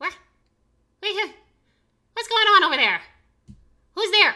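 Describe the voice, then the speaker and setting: It is a put-on character voice. The pitch is extremely high. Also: moderate pace. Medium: actual play. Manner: jumpy, confused.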